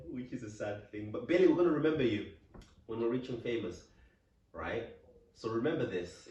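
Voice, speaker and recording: Somewhat breathy and dark, mellow in tone, a man's medium-pitched voice moves at a fairly quick pace with lively intonation and long, frequent pauses, in audible room echo. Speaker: podcast co-host. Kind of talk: casual chat.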